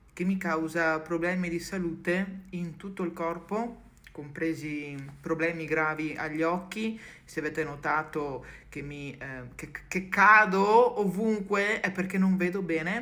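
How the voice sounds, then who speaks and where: Audible room echo surrounds a woman speaking at a fairly slow pace. Her pitch is fairly low, with ordinary variation. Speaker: content creator. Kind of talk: personal video message. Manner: halting.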